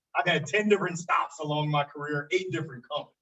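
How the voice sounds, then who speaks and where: A loud, energetic tone at a very fast pace. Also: man. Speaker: business owner. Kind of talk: panel discussion.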